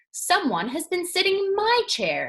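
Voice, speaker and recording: The pace is moderate. The voice is a put-on character voice. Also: woman, extremely high pitch for a woman. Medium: read story.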